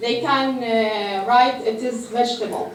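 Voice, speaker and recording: A woman with an Arabic accent, high-pitched, fairly slow and fairly even in intonation, with audible room echo and noticeable background noise. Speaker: pharmacist, food safety speaker. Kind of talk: lecture. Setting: mosque conference with audience. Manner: halting, many hesitations.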